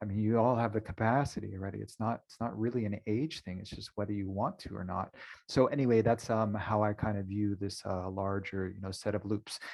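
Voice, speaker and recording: A normal speaking voice from a man, fairly low in pitch, at a fairly quick pace with hardly any pauses, fairly even intonation and big swings in loudness. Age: 40s. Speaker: webinar moderator. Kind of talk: moderated webinar discussion.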